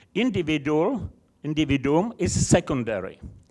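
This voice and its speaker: A man's voice sits fairly high and swings very widely in pitch. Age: 70s. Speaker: audience member. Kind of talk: heated debate. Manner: animated; halting.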